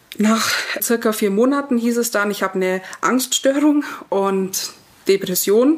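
Over noticeable background noise, the voice moves at a fairly slow pace with ordinary pitch variation. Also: woman, fairly high pitch for a woman. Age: 30s. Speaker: vaccine injury patient telling her story. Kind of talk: personal testimony.

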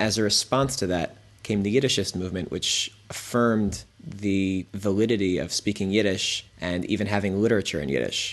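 A man with an American accent has an ordinary speaking voice, speaking at a moderate pace in a fairly low pitch with ordinary pitch variation. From Riverdale, New York. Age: 20s. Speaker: farm founder. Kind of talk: interview.

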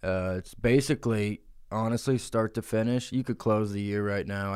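The voice moves at a moderate pace on a very clean recording with a silent background. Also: man. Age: 20s. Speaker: comedy podcast host. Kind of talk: casual chat. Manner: animated.

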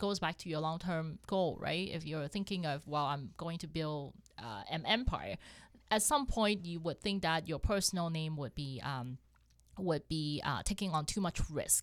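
In a very clean recording with a silent background, a woman with a fairly low voice speaks at a moderate pace in a Cantonese accent. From Hong Kong. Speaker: accountant and real estate investor. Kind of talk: casual interview chat.

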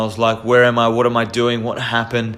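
A man speaks at a medium pitch with an Australian accent. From Australia, Victoria (Queenscliff, Melbourne). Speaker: podcast host. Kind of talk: personal storytelling monologue. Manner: halting, many fillers and repetitions.

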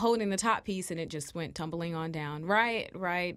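With a normal speaking voice and lively intonation, a woman talks at a fairly quick pace on a very clean recording with a silent background. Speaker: student co-host. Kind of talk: casual chat. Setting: studio. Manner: giggly.

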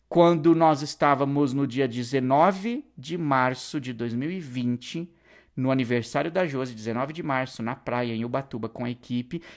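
A man speaks at a fairly slow pace with a medium pitch. The recording is very clean, with a silent background. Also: ordinary pitch variation. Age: 40s. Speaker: podcast host and online course educator. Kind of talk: solo podcast monologue. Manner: animated.

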